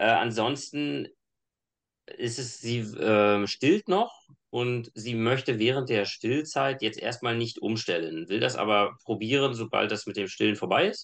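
In an ordinary speaking voice, a man talks at a fairly slow pace and medium pitch with ordinary pitch variation against a quiet background. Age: 30s. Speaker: engineer and fitness coach. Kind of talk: casual chat.

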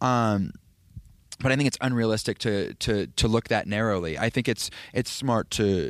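A man speaks at a medium pitch and a moderate pace with ordinary pitch variation and long, frequent pauses, recorded very cleanly with a silent background and a dry, close sound with no echo. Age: 30s. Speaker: film composer. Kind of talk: interview. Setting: at a film festival. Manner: halting, many fillers and restarts.

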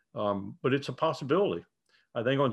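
Over a quiet background, a man talks very fast at a medium pitch, his voice swinging very widely up and down. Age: 70s. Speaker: retired army colonel and professor. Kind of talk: casual interview conversation.

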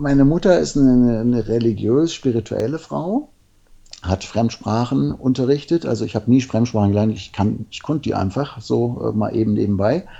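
Lively in intonation, a man with a normal speaking voice talks at a medium pitch and a moderate pace. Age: 50s. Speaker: men's coach and therapist. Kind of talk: interview.

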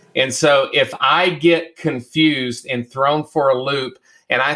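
A man speaks with an American accent in a bright, sharp tone. His intonation stays fairly even. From US South, the Carolinas. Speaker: church consultant and author. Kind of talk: interview conversation.

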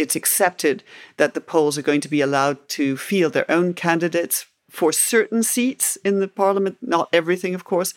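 A plain, everyday voice at a fairly quick pace with ordinary pitch variation, dry and close with no echo, on a very clean recording with a silent background. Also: woman, fairly low pitch for a woman. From Canada and England. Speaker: historian. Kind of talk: interview.

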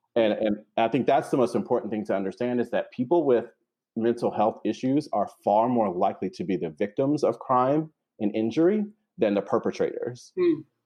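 An ordinary speaking voice from a man with an American accent, medium pitch, lively intonation, and a fairly quick pace. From North Carolina. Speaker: therapist. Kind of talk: interview.

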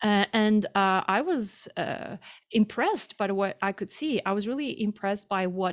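Heard on a very clean recording with a silent background and a dry, close sound without echo, a woman with a Russian accent speaks at a moderate pace in a medium pitch with ordinary pitch variation. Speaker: activist. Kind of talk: interview. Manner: halting.

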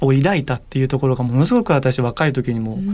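A man speaks in an unremarkable speaking voice with a fairly high pitch and ordinary pitch variation, on a very clean recording with a silent background. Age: 40s. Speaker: corporate communications manager. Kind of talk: interview.

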